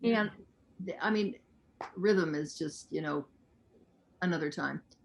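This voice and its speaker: Speaking with an ordinary speaking voice, this woman's fairly low pitch shows ordinary pitch variation. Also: fairly slow pace. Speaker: talk show host, interviewer. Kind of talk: interview, host questions.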